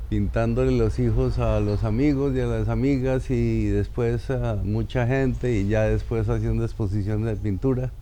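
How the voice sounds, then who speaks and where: At a moderate pace and with hardly any pauses, a man speaks at very even loudness amid audible room echo and noticeable background noise. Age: 60s. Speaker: actor. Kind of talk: personal life story interview.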